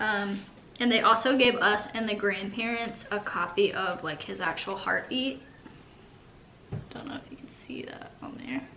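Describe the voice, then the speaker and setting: A woman with a medium-pitched voice speaks at a moderate pace with lively intonation, big swings in loudness and long, frequent pauses, over noticeable background noise and audible room echo. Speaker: vlogger, bereaved mother. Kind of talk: casual video walkthrough.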